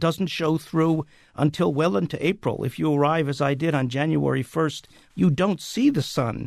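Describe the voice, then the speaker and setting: A man talks at a moderate pace in a plain, everyday voice with fairly high pitch. The background is quiet. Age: 60s. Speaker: playwright. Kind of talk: casual chat.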